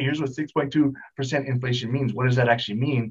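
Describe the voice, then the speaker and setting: A man with a medium-pitched, somewhat breathy voice talks at a fairly quick pace with fairly even intonation. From Hawaii. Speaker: real estate investor and coach. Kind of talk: podcast interview.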